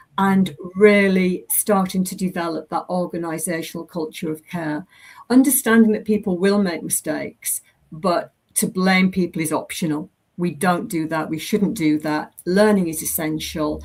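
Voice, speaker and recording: Her voice sits at a medium pitch for a woman. Its rise and fall is ordinary. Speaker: safety education presenter. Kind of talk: presentation. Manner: fast.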